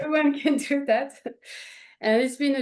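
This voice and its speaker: The speaker is a woman. She talks in a French accent. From France, Paris. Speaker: painter. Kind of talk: interview.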